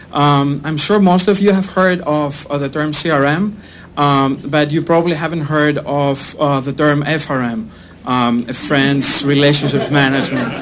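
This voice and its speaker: A man speaks with a strong Greek accent, and audible echo fills the room. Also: fairly high pitch for a man, ordinary pitch variation, moderate pace. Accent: thick Greek. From Greece. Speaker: startup CEO. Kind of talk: sales pitch. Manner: hesitant, many fillers.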